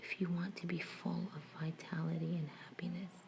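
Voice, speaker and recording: Someone soft-spoken is whispering at a moderate pace against noticeable background noise. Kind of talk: ASMR relaxation reading of affirmations. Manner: soft-spoken and whispered, calming.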